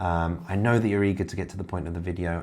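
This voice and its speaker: Speaking at a very fast pace, a man talks in a southern English accent. His pitch is very deep and low. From Kent, southeast England. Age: 40s. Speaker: self-improvement YouTuber. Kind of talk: casual direct-to-camera monologue.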